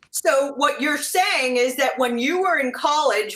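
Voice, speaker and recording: Over noticeable background noise, a woman speaks fairly slowly at a high pitch with ordinary pitch variation. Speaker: interviewer. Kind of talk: interview questions.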